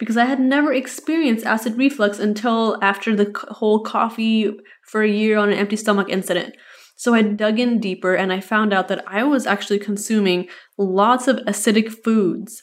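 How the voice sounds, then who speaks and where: A woman with a plain, everyday voice speaks at a fairly quick pace in a fairly high pitch. Her intonation is fairly even, and the recording is very clean with a silent background. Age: 20s. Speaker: podcast host and registered nurse. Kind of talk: casual solo podcast talk.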